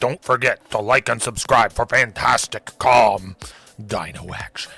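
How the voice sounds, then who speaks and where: Against music in the background, a man uses a raspy, put-on character voice at a medium pitch and a moderate pace. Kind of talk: announcer-style. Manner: big, scary.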